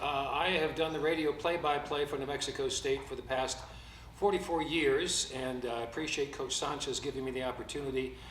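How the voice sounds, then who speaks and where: A man talks at a fairly quick pace, fairly high in pitch, with ordinary pitch variation. There's noticeable background noise and audible room echo. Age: 70s. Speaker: sports radio play-by-play broadcaster. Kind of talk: press conference. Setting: press conference. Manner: halting, many fillers.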